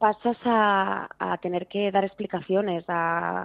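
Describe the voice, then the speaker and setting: In a flat, monotone way, a woman speaks at a medium pitch. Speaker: author and voice narrator. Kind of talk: radio interview.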